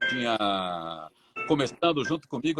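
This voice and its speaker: Music playing behind a male voice with very wide swings in pitch. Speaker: radio announcer. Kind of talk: interview answer.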